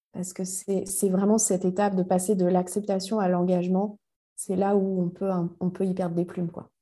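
A woman speaks at a moderate pace and medium pitch, her tone dark and mellow and her intonation monotone and flat. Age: 40s. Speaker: life coach and mentor. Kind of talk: interview conversation. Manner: halting, many repetitions and fillers.

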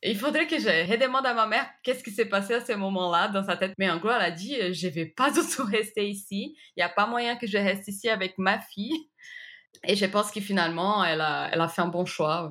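A woman talks with a Brazilian accent at a medium pitch. Her tone is bright and sharp, her pace fairly quick and her intonation lively. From Brazil, Recife. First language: Portuguese (speaking French). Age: 30s. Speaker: graphic designer. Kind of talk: interview testimony. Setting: remote interview.

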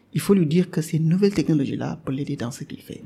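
A man with a Senegalese accent speaks at a high pitch in a dark, mellow tone with lively intonation. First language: Wolof (speaking French). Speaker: software developer and podcaster. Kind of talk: interview. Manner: hesitant, many fillers.

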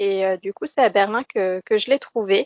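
The woman's pace is moderate. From France, Lorraine near Metz. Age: 20s. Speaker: former civic service volunteer living abroad. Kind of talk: interview. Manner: halting, with repetitions and fillers.

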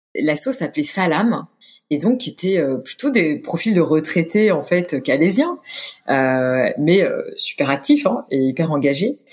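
A woman's fairly low voice at a fairly slow pace, with very wide pitch swings and very even loudness. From France, Orléans. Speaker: humanitarian communications director and yoga teacher. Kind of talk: interview. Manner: halting, many fillers and repetitions.

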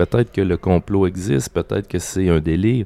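A man speaks in a Quebec accent with a dark, mellow tone and ordinary pitch variation. The sound is dry and close, with no echo. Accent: Québécois. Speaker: comic book artist. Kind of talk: casual interview. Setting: restaurant.

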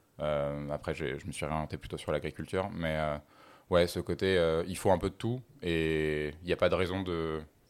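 In a very clean recording with a silent background, a man with a very deep, low pitch talks at a moderate pace with fairly even intonation. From France, Paris. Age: 20s. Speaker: climate activist. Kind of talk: casual interview.

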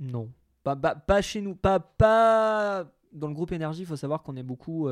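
The man's intonation is lively. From Franche-Comté, France (Territoire de Belfort). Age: 20s. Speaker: radio host. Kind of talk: casual interview. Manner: smiling, upbeat.

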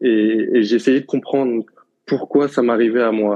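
A man at a moderate pace and medium pitch, an ordinary speaking voice. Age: 20s. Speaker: professional footballer and naturopath. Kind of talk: interview.

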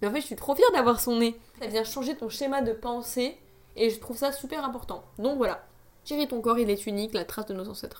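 A woman with a fairly high pitch talks in an animated tone, her pitch varying in an ordinary way. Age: 20s. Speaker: podcaster. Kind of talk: casual monologue.

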